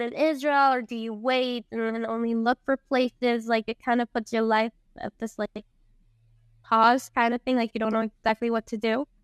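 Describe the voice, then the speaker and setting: A woman speaks at a moderate pace with a fairly high pitch and monotone, flat intonation. The sound is dry and close with no echo, and the background is quiet. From Costa Rica (moved from Venezuela at five). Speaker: rabbi's wife and community leader. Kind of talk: personal testimony in interview.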